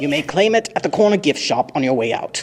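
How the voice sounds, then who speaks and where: In a put-on character voice, a man rattles along at a very fast pace with a fairly high pitch. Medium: audio drama. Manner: formal, with dry sarcasm.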